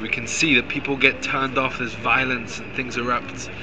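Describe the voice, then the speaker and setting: The speech moves at a fairly quick pace in monotone, flat intonation, with noticeable background noise. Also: man. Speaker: religious activist. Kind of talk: street debate. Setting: outdoors. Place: street.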